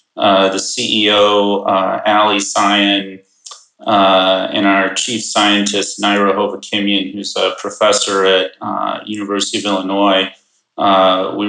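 In an American accent, a man talks at a very slow pace with fairly low pitch, monotone, flat intonation and a bright, sharp tone. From US Midwest, Chicago suburbs. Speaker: ag tech company co-founder. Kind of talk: podcast interview.

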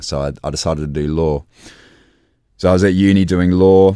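A man with an Australian accent, fairly quick and flat, monotone in intonation. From born in England, grew up in Australia. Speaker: professional kickboxer. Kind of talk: casual interview.

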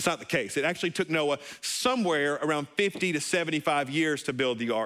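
The pace is moderate, with ordinary pitch variation. The tone is bright and sharp. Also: man. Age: 30s. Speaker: pastor. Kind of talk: sermon. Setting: church service, also streamed online. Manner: animated.

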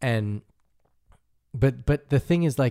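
A man's dark, mellow tone with lively intonation at a fairly slow pace, in a dry, close, echo-free sound on a very clean recording with a silent background. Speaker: DJ and music producer. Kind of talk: casual chat.

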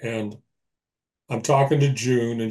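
At a moderate pace, a man speaks with medium pitch, a dark, mellow, somewhat breathy tone and fairly even intonation. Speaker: retired police detective and author. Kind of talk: interview.

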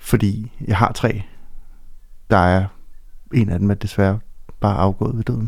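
Speaking with fairly even intonation at a fairly slow pace, a man with a fairly low pitch leaves long, frequent pauses. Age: 40s. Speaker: bereaved father. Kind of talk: interview about personal loss. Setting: studio.

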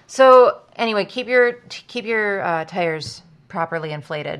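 Loud and with lively intonation, a woman speaks at a fairly slow pace. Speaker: podcast co-host. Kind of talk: casual chat. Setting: studio. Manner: animated.

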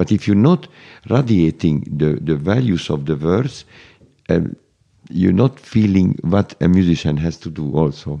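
Very deep, low-pitched man with a Hungarian accent, dark and mellow in tone, fairly slow in pace, lively in intonation. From Hungary, Budapest. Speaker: conductor. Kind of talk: interview. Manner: halting.

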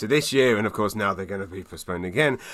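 The speaker has a London accent and ordinary pitch variation. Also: man. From London, England. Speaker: stand-up comedian. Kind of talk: casual interview chat. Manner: fast.

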